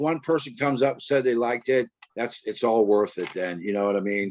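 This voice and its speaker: Speaking at a fairly quick pace, a man has an unremarkable speaking voice. His pitch varies in an ordinary way. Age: 60s. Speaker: punk musician. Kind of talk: casual interview.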